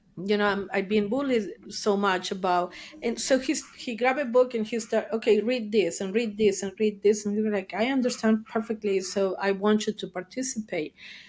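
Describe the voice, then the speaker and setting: A woman speaks in an Argentine accent. Her pitch is fairly high and her pace fairly quick. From Argentina, Buenos Aires. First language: Spanish. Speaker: therapist. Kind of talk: interview. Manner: animated.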